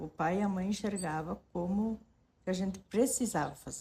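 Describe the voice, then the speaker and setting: Somewhat breathy and dark, mellow in tone, a woman speaks at a moderate pace with lively intonation. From southern Brazil, rural western Santa Catarina. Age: 60s. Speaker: interviewee telling life story. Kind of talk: personal testimony. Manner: halting, with self-corrections.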